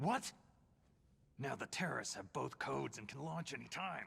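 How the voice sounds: A man puts on a character voice at a medium pitch, with a fairly bright tone and lively intonation. He goes at a fairly slow pace, with vocal fry and a husky, rough edge.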